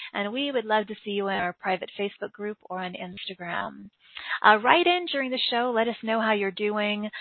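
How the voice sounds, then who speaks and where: With ordinary pitch variation and a fairly high pitch, a woman speaks in a normal speaking voice at a moderate pace. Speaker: podcast host. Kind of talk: spiritual broadcast intro and interview. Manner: warm, upbeat, flowery.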